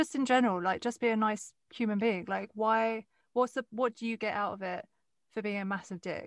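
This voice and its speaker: A woman speaks with an Essex accent. The recording is very clean, with a silent background. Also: moderate pace. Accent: southern English (Essex). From England, Westcliff (Essex). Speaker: podcast host. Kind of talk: casual interview chat. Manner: animated, frequent laughter.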